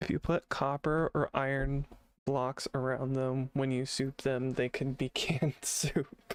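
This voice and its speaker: A man's monotone, flat delivery at a fairly slow pace and very even loudness, with a dry, close sound and no echo. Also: medium pitch for a man. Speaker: gaming streamer. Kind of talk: casual gameplay commentary.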